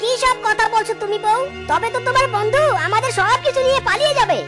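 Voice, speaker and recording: A woman uses a cartoonish character voice at an extremely high pitch and a fairly quick pace, with music clearly heard in the background. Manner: bossy, scolding.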